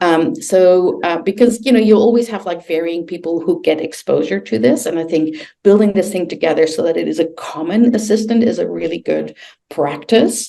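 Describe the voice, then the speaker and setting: A woman's dark, mellow voice with vocal fry, lively intonation and a fairly quick pace. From Netherlands. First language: Dutch. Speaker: learning design director. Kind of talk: webinar presentation. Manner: hesitant, many fillers.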